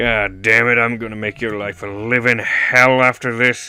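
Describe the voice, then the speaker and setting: A man puts on a growling character voice. He speaks at a moderate pace with a medium pitch. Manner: shouting angrily with a growl.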